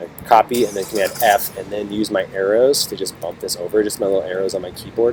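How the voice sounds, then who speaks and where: Over noticeable background noise, a man talks at a very fast pace in a fairly low pitch with fairly even intonation. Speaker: teacher. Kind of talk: tutorial.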